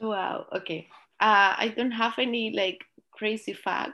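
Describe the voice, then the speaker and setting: A woman with a Spanish accent, quiet background. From Colombia. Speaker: early learning educator and program co-owner. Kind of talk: interview. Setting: video call.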